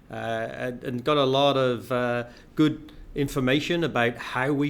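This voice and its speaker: With an English accent, a man speaks using ordinary pitch variation. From England (Bath, west of England). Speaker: healthcare company CEO. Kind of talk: interview. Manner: hesitant, many fillers.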